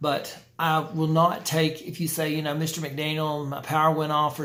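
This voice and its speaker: Audible room echo surrounds a man whose pitch is fairly high. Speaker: college instructor. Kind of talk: lecture. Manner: fast; halting.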